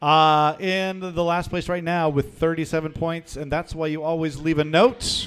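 A man's fairly high voice, an ordinary speaking voice, with fairly even intonation, a fairly slow pace and hardly any pauses. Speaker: trivia quiz host. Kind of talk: live quiz hosting in a bar. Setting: live in a bar with audience.

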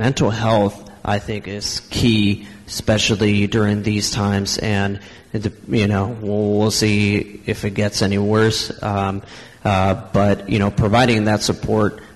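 The speech comes very slowly in a monotone, flat intonation amid noticeable background noise. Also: man. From Napa, California. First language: Spanish. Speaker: community organization representative. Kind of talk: panel discussion. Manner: halting, filler words.

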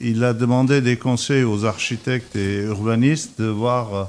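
The man speaks with an Armenian accent at a very slow pace. His voice is medium in pitch, and his intonation is fairly even. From Iraq. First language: Armenian (speaking French). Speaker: painter and architect. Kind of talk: radio interview.

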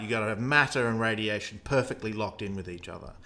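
With an Australian accent, a man speaks in a bright, sharp tone. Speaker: astronomy podcast host. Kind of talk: explanatory conversation about cosmology.

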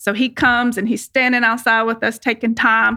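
In a plain, everyday voice, a woman speaks with an American accent, her pitch fairly high and her intonation fairly even. The recording is very clean, with a silent background. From Virginia (Lynchburg). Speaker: pet resort owner. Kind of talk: interview.

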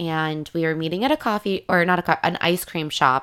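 A woman with a normal speaking voice at a fairly low pitch and a moderate pace, on a very clean recording with a silent background. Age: 20s. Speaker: dating podcast host. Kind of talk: casual monologue. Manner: frequent laughter.

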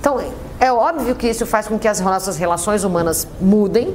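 Through noticeable background noise comes a woman's fairly high-pitched voice, moving at a fairly quick pace with lively intonation. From Brazil. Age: 30s. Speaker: café entrepreneur. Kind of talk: interview.

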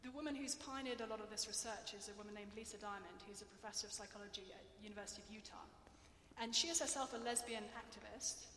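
Speaking very fast with an English accent, a woman's fairly high voice shows ordinary pitch variation and big swings in loudness over noticeable background noise. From England. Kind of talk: lecture; audience Q&A. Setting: stage with audience.

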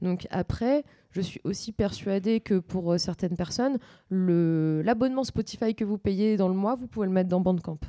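At a fairly slow pace, a woman speaks in a fairly low, dark, mellow voice with lively intonation, the sound dry and close with no echo. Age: 20s. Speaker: radio DJ. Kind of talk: casual chat.

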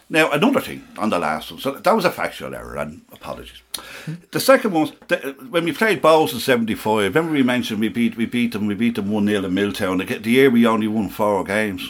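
Fairly quick and with very wide pitch swings, a man speaks at medium pitch in a Dublin accent. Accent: Dublin Irish. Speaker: football supporter. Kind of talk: casual chat. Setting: studio.

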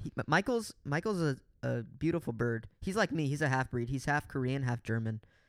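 This man has a plain, everyday voice of fairly high pitch, talking at a fairly quick pace in a dry, close sound with no echo on a very clean recording with a silent background. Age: 20s. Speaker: podcast co-host. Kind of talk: casual chat.

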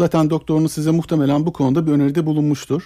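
A man speaks in a fairly high voice with a dark, mellow tone. The recording is very clean and dry, close with no echo and a silent background. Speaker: general surgeon. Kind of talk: medical radio interview. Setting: studio.

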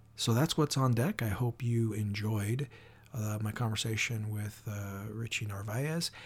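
A man speaks with an American accent at a fairly slow pace. His voice is somewhat breathy and his intonation fairly even. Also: medium pitch for a man. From US Pacific Northwest. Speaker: podcast host, crime author. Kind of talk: casual interview.

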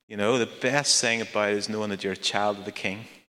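In a Northern Irish accent, a man speaks at a fairly quick pace and medium pitch with a bright, sharp tone in a very clean recording with a silent background. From Northern Ireland. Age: 40s. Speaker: charity founder and speaker. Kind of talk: talk in a church service.

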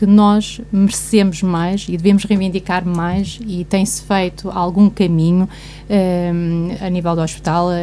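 Fairly slow, monotone speech from a woman, flat in intonation, over noticeable background noise. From Guarda, Portugal. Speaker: commentator. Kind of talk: radio panel discussion. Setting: radio studio.

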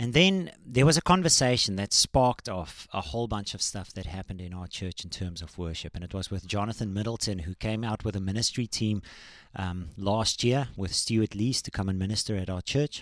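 In a dry, close recording that is very clean with a silent background and no echo, a man with an unremarkable speaking voice and fairly low pitch talks at a fairly quick pace with hardly any pauses and ordinary pitch variation. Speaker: worship leader and songwriter. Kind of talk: casual interview. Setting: studio.

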